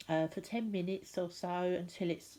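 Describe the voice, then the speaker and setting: With an English accent, a woman talks at a moderate pace in a fairly low pitch and a dark, mellow tone. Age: 60s. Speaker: crafter / DIY vlogger. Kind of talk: tutorial. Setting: at home, lounge floor. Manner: casual, hesitant with fillers.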